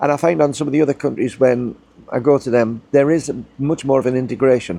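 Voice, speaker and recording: Speaking fairly quickly, a man uses a medium-pitched voice with a dark, mellow tone. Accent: British. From UK. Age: 60s. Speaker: YouTuber, ex-military retiree. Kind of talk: casual vlog monologue.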